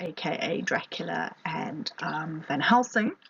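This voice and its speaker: A British accent is heard. It belongs to a woman. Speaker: literature teacher. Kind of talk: lecture. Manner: hesitant, many fillers.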